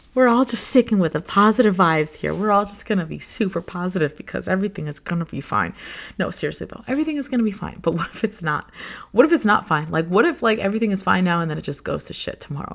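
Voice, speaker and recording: Very fast, lively speech from a woman of medium pitch with vocal fry, on a very clean recording with a silent background. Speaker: solo podcast host. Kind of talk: casual solo podcast monologue. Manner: animated, expressive; halting, self-correcting.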